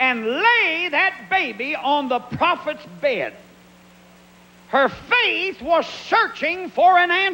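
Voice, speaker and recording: Projecting his voice at an extremely high pitch, a man with an American accent speaks at a very slow pace with very wide pitch swings. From Pennsylvania. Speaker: evangelist preacher. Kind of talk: sermon. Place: church. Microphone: handheld.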